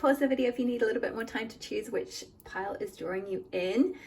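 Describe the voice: A woman's fairly high voice with a slightly mellow tone and slightly husky edge, at a fairly quick pace with fairly even intonation.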